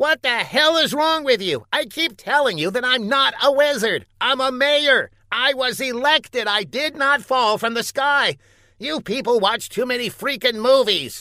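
A man puts on a character voice pitched extremely high. He delivers it at a moderate pace. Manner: exasperated, then glib and self-serving.

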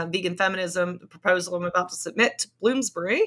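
Talking at a fairly quick pace, a woman with an American accent has a medium pitch and a bright, sharp tone. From US Appalachia. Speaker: sociologist and author. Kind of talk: interview.

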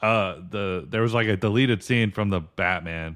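Here is a man with a normal speaking voice. His pitch sits fairly low and varies in an ordinary way. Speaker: podcast host. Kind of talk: casual chat.

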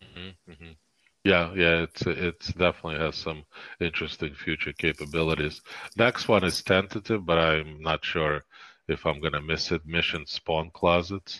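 On a very clean recording with a silent background and a dry, close sound with no echo, a man with a very deep, low pitch and a bright, sharp tone speaks at a moderate pace with fairly even intonation and big swings in loudness. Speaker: podcast co-host. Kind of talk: casual chat.

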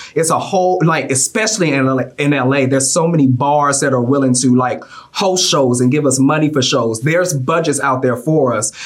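Noticeable background noise sits under speech delivered at a fairly quick pace with hardly any pauses. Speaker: drag queen contestant. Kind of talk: casual interview.

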